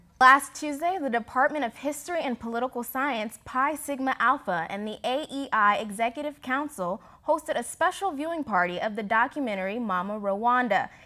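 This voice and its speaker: A woman with a high pitch and a bright, sharp tone projects her raised voice with lively intonation and hardly any pauses. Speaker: news anchor. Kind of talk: news anchor read.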